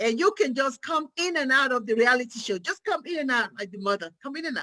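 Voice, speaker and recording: A woman with an African accent, very fast and animated, her raised, projected voice bright and sharp, high in pitch, with very wide pitch swings and big swings in loudness. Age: 50s. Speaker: psychiatric nurse practitioner. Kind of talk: motivational talk.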